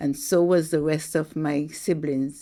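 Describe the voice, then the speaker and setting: A woman's voice in a very clean recording with a silent background. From Saint Kitts, Caribbean. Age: 80s+. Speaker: Windrush-era migrant. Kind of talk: oral history interview.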